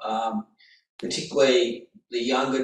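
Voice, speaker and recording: It's a man with an ordinary speaking voice and fairly even intonation. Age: 60s. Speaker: author and trading coach. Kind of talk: interview.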